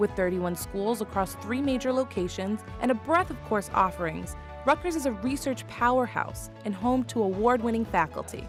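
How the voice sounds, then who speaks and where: A woman is talking at a moderate pace. Behind her, music can be heard. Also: hardly any pauses. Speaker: television anchor and host. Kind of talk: promotional voice-over narration. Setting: recorded voice-over.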